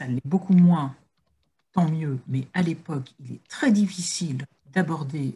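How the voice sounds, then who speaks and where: A woman speaks very slowly in a very deep, low, somewhat breathy voice with a dark, mellow tone. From northern France. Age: 50s. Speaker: recovered addict giving prevention talks. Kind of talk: testimony talk in a webinar. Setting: video call webinar.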